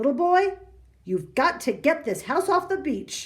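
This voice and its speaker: A woman speaks in a put-on character voice at an extremely high pitch, with lively intonation and a moderate pace. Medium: read story. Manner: bossy, scoffing.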